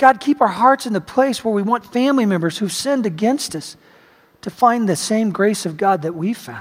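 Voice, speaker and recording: A man with a high pitch and lively intonation talks at a moderate pace. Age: 50s. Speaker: pastor. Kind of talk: sermon. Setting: church.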